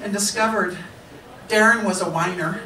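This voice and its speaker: A woman speaks at a fairly slow pace. Light background noise and audible room echo are present. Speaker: storyteller, musician and author. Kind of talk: live storytelling performance. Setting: live club stage. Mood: humorous, animated. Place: stage.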